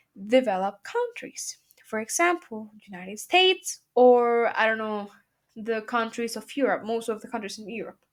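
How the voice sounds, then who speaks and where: Here a woman with a Spanish accent speaks at a fairly high pitch with ordinary pitch variation. Her pace is moderate, and the recording is very clean with a silent background. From Mexico. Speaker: student. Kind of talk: class presentation. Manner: halting.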